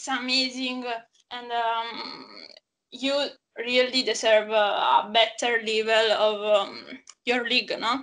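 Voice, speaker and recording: A woman with an Italian accent speaks at a very slow pace in a flat monotone, leaving long, frequent pauses. Her fairly high voice has a bright, sharp tone. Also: big swings in loudness. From Naples, Italy. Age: 20s. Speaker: football fan guest. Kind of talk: casual chat. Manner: halting.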